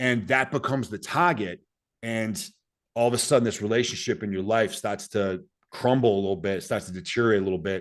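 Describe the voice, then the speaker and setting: A man speaks at a fairly quick pace with medium pitch and lively intonation. The background is quiet. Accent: Boston. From US Northeast, Boston. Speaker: Green Beret soldier and author. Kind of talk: podcast interview.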